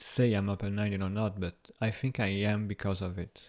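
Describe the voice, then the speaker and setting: A man with a French accent, fairly low in pitch and dark and mellow in tone, at a moderate pace with fairly even intonation on a very clean recording with a silent background. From Brazil. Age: 20s. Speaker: university student. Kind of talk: interview. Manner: halting.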